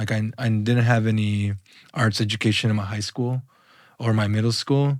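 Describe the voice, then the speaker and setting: A man speaks in a Spanish accent at a fairly low pitch, his intonation monotone and flat. The recording is very clean, with a silent background. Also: moderate pace. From Los Angeles, US (Mexican immigrant parents). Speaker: visual artist. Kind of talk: casual interview conversation. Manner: casual, halting with fillers.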